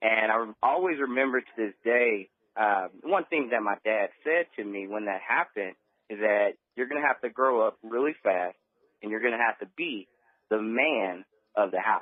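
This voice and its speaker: A man with an American accent talks at a moderate pace and medium pitch, with ordinary pitch variation. He has a plain, everyday voice. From Texas, Beaumont. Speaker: network marketer. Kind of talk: radio interview.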